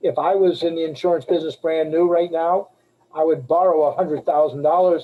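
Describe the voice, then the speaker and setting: A man with an American accent speaks at a fairly quick pace in a high voice. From Boston area, Massachusetts. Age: 60s. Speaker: life insurance agent. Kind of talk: webinar talk. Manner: casual, conversational.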